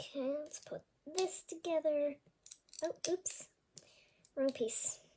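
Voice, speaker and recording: A woman talks very slowly with long, frequent pauses. Her pitch is extremely high, and her tone is dark and mellow. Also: ordinary pitch variation. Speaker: toy unboxing youtuber. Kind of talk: unboxing video. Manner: hesitant, many fillers.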